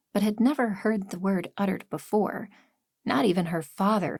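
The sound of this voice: The background is quiet. The speaker uses an unforced reading voice.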